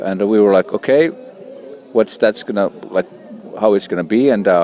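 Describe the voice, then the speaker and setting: Against noticeable background noise, a man with a fairly low-pitched voice speaks with lively intonation. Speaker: musician. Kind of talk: interview. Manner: hesitant.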